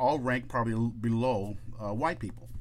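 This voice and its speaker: A man's fairly low voice with vocal fry and lively intonation. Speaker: podcast co-host. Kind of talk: casual chat. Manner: fast talker, stutters.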